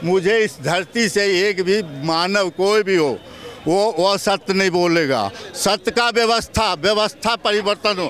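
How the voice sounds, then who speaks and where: Very even loudness from a man's high-pitched voice, with noticeable background noise. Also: ordinary pitch variation. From Bihar, India. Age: 60s. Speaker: laborer and farmer interviewed in street. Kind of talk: street interview. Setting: outdoors on street. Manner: animated.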